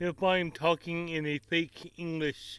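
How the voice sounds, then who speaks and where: With an American accent, a man speaks at a very slow pace and a fairly high pitch. His tone is bright and sharp, with fairly even intonation. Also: very clean recording, silent background. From Tennessee, US South. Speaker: cooking vlogger. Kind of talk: casual chat to camera. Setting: outdoors by the grill. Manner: relaxed, folksy.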